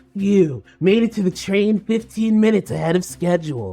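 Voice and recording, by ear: A put-on, nasal character voice at middle pitch and a moderate pace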